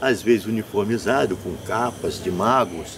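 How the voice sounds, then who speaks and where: This is a man's voice. Noticeable background noise runs under it. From Brazil, northern Rio de Janeiro state (São Fidélis). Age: 60s. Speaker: folk tradition master and performer. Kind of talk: interview. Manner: halting, with repeated words.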